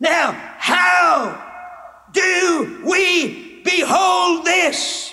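A man is shouting. His intonation is lively. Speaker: evangelist preacher. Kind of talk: sermon. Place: stage. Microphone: podium.

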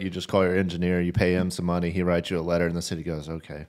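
A man with a very deep, low pitch speaks against a quiet background. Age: 30s. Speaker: fishing podcast co-host and outdoor store owner; fishing podcast co-host. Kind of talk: casual chat. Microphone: studio mic.

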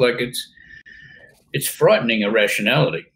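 Light background noise under a somewhat breathy man with an Australian accent at a fairly quick pace. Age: 70s. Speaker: company founder and chairman; interview guest. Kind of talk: interview. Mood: blunt, opinionated. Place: home room.

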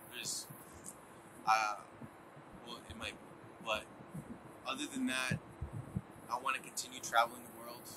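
A man at medium pitch and a moderate pace, monotone and flat, with long, frequent pauses, big swings in loudness, and noticeable background noise. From United States (moved from Colombia at two; Boston, Florida, Canada, Philadelphia). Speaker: student entrepreneur, artist manager. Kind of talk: interview monologue.

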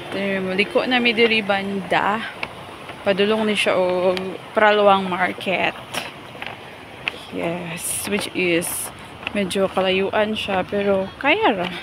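Speech comes very slowly with long, frequent pauses. The sound is dry with no echo, but noticeable background noise is present. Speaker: teacher walking home. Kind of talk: casual vlog chat. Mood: cheerful, laughing. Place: open country. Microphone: phone near.

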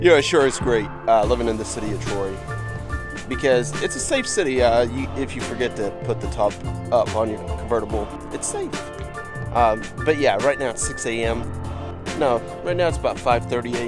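Clear music plays in the background. Over it, a man speaks at a fairly quick pace. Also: dry sound with no echo. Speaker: father vlogger. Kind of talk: casual vlog chat. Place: street. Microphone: phone near.

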